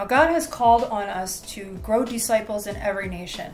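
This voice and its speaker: Faint music plays in the background as a woman speaks at a fairly slow pace. Her pitch variation is ordinary. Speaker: bible study host. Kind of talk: lecture. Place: home room. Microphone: webcam.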